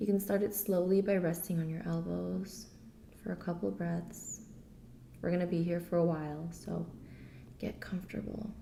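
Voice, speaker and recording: A woman speaks in a fairly low pitch with a dark, mellow tone, vocal fry and ordinary pitch variation. Long, frequent pauses break her speech, and audible room echo surrounds it. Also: moderate pace. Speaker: yoga teacher. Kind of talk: guided yoga class instruction. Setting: garage at home.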